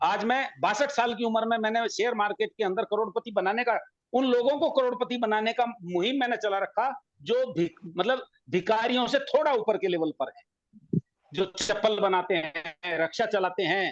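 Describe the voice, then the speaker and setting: A man talks with lively intonation and an animated tone at a high pitch. His loudness stays very even, and the sound is dry and close with no echo. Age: 60s. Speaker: financial expert. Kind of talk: panel discussion. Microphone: voice breaking up on the line.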